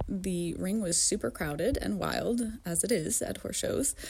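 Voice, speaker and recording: Speaking in an American accent, a woman uses a medium pitch, vocal fry and lively intonation at a moderate pace. The recording is very clean, with a silent background. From upstate New York. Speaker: amateur rider, listener. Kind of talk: recorded anecdote.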